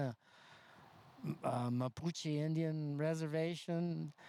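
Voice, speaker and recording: Very slowly and with fairly even intonation, a man speaks at a fairly high pitch. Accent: American. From US West Coast, North County San Diego. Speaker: community elder, former Peace Corps volunteer. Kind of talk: casual chat. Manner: halting.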